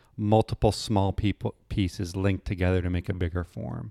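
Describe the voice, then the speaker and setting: A man talks at a fairly slow pace in a normal speaking voice, fairly low in pitch with ordinary pitch variation. The sound is dry and close, with no echo. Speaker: oral history podcast host. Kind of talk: casual interview. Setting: artist's studio.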